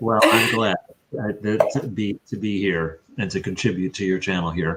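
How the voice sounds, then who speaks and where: With an American accent and a normal speaking voice, a man talks at a moderate pace, fairly low in pitch, with ordinary pitch variation. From USA. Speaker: sculptor. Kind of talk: interview.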